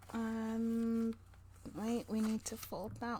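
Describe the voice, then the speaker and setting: Mumbling at a very slow pace, a woman speaks with a fairly high pitch and a dark, mellow, somewhat breathy tone. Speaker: crafting youtuber. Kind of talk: tutorial.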